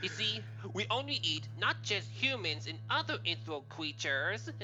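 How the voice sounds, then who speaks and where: A put-on character voice with a low pitch moves at a moderate pace over clear background noise. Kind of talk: comic villain. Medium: solo performance. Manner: cackling, taunting.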